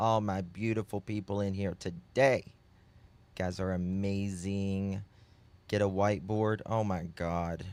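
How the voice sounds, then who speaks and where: A man's fairly low, monotone, flat delivery in a Southern US accent at a fairly slow pace. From US South. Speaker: true crime streamer. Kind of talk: live stream chat with viewers. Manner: halting.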